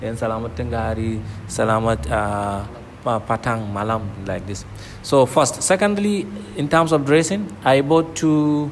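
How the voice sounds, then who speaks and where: A man's medium-pitched voice at a moderate pace, lively in intonation, with noticeable background noise. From northern Nigeria. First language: Kanuri. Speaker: PhD student. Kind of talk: interview. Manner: repetitive, conversational.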